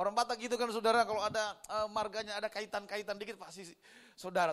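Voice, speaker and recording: A man's high-pitched, raised and projected voice, bright and sharp in tone and animated. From Indonesia, Manado (North Sulawesi). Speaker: pastor. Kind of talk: sermon.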